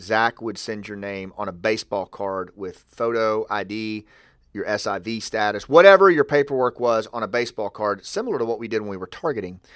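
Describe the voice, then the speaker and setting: A man with an American accent shows ordinary pitch variation and big swings in loudness. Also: fairly low pitch for a man, fairly quick pace, very clean recording, silent background. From US South, rural Arkansas. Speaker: retired special forces officer. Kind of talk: interview. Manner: halting, repeats words.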